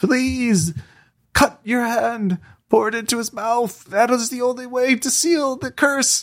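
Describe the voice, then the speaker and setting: In a put-on character voice, someone whispers at a fairly slow pace. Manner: whispering, urgent, haunting.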